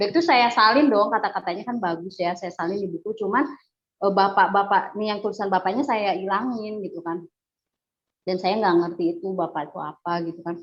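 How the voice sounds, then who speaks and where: Her pitch moves in an ordinary way. This woman's voice sits at a medium pitch. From West Java (Bandung), Sundanese. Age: 40s. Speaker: convert giving testimony. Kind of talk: testimony. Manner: hesitant, many fillers.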